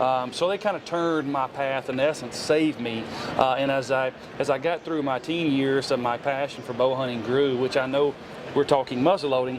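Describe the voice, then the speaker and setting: A man's medium-pitched voice with a Southern US accent, fairly even intonation and noticeable background noise. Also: moderate pace. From Tennessee. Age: 40s. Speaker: hunter and outdoor show personality. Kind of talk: podcast interview. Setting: trade show. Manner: casual, halting with many fillers.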